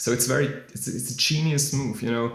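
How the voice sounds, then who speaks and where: Vocal fry in a non-native accent, with ordinary pitch variation and audible room echo. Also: man. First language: not English. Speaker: musician discussing faith. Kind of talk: casual monologue on faith. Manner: halting, many fillers.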